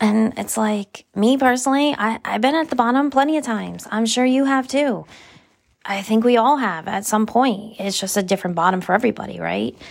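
A woman's fairly high, normal speaking voice with ordinary pitch variation at a fairly quick pace. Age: 30s. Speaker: podcast host. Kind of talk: casual solo monologue. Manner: casual, laughing often.

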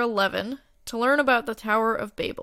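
On a very clean recording with a silent background, a woman speaks at a fairly high pitch in a bright, sharp, warm and upbeat tone. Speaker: podcast co-host. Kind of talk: casual podcast intro and outro. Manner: warm, friendly, upbeat.

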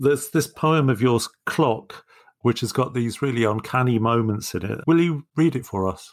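A man with a normal speaking voice and medium pitch talks at a moderate pace with ordinary pitch variation. The recording is very clean, with a silent background. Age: 60s. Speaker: poetry podcast co-host. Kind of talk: casual chat.

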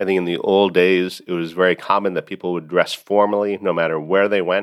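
A man with an American accent talks at a fairly quick pace in a very deep, low pitch, his intonation monotone and flat. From United States. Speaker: podcast host and law professor. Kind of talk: educational podcast monologue.

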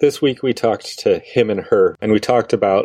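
A man at a moderate pace, in a dry, close sound with no echo and a quiet background. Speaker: podcast host and worship leader. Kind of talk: casual podcast interview.

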